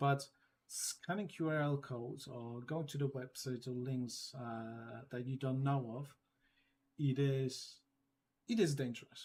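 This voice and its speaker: At a fairly slow pace, a man with a non-native accent speaks at medium pitch in a somewhat breathy voice with fairly even intonation. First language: not English. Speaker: data security trainer. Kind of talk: training session. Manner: halting with many fillers.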